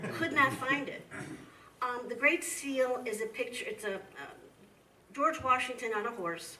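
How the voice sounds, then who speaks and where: In a room with audible echo and noticeable background noise, a woman with a Midwestern accent speaks at a high pitch with lively intonation and long, frequent pauses. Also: moderate pace. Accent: Midwestern twang. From US Midwest. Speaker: history professor. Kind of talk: lecture Q&A. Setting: museum talk with audience.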